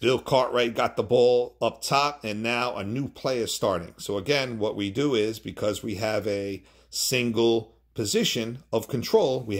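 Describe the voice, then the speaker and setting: A man at a moderate pace with ordinary pitch variation and hardly any pauses, over a quiet background. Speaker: board game tutorial maker. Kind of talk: tutorial. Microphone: phone near.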